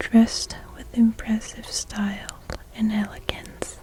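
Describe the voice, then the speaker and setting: A woman whispers at a very slow pace in a gentle tone. Noticeable background noise can be heard. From China. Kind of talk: sleep story, bedtime reading. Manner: soft-spoken, slow, gentle.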